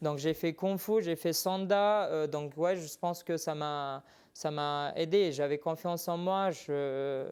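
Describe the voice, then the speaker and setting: The speech comes at a very slow pace with a slight non-native accent, on a very clean recording with a silent background. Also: man, fairly high pitch for a man. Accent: slight foreign accent in French. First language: not French (speaking French). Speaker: MMA fighter. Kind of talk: TV interview. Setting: TV studio. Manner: hesitant.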